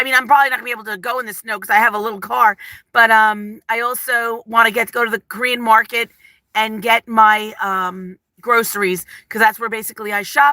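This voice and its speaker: A woman with an East Coast accent speaks at a fairly quick pace and a fairly high pitch, her tone bright, sharp and animated, with big swings in loudness. The recording is very clean, with a silent background and a dry, close sound with no echo. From New Jersey. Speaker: lifestyle vlogger. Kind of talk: casual live stream chat. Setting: live stream.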